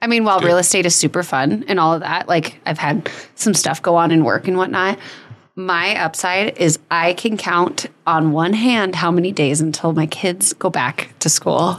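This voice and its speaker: A woman talks in a normal speaking voice with a fairly low pitch. Her pitch variation is ordinary and her loudness very even. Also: moderate pace. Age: 30s. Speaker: podcast co-host. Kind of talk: casual chat.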